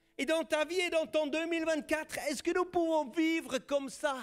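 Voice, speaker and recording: The speaker has a Swiss German accent. Pitch variation is ordinary. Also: man. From German-speaking Switzerland. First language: Swiss German (speaking French). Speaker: pastor. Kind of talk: sermon. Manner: animated.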